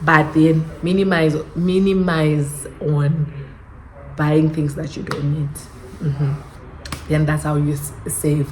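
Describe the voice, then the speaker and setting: Her pitch very deep and low, a woman speaks in a flat monotone at a very slow pace with long, frequent pauses, amid audible room echo and noticeable background noise. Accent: Zimbabwean. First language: Shona. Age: 20s. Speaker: YouTuber. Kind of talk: casual vlog chat. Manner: halting.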